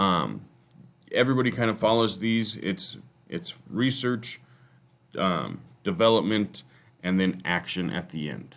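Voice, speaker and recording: With an American accent and vocal fry, a man speaks fairly slowly in a fairly low pitch, using lively intonation and long, frequent pauses. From Colorado, US. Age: 30s. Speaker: teacher and football coach. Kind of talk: class presentation. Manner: halting, many fillers.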